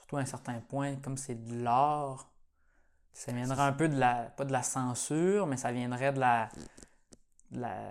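A man speaks fairly slowly at a medium pitch, with fairly even intonation. His speech has long, frequent pauses. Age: 20s. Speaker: podcast host, nursery worker. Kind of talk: casual interview.

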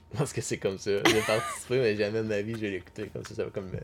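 This man's fairly low voice comes through very fast amid noticeable background noise. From Quebec, Abitibi. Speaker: podcast guest. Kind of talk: casual chat.

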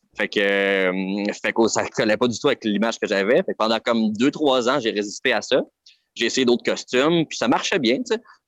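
In a Quebec accent, a man speaks at a moderate pace and medium pitch with ordinary pitch variation, the sound dry and close with no echo against a quiet background. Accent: Québécois French. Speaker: clown. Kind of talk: casual chat.

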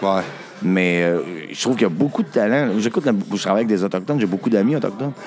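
Over music in the background, a man with a fairly low pitch talks at a very fast pace with ordinary pitch variation. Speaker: musician in a band. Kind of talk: casual chat.

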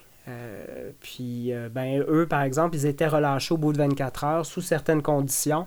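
A man talks at a very slow pace with fairly even intonation on a very clean recording with a silent background. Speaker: ex-environmental activist. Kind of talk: interview.

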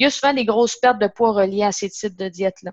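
A woman talks in a normal speaking voice at a medium pitch, with ordinary pitch variation and a dry, close sound with no echo. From Quebec, Gaspésie (Matapédia Valley). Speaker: nutritionist. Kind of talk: casual interview.

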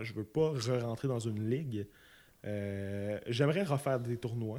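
A man with a Quebec accent at a fairly slow pace, on a very clean recording with a silent background. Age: 20s. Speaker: podcast guest, close friend of host. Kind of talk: casual chat.

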